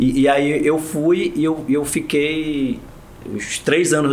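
A man with an unremarkable speaking voice, pitched fairly high. His intonation stays fairly even. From Marajó, Pará, Brazil. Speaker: state public security secretary, federal police delegate. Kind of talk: interview.

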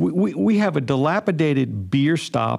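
A man at medium pitch speaks at a fairly slow pace in a plain, everyday voice. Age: 60s. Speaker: podcast host. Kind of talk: interview.

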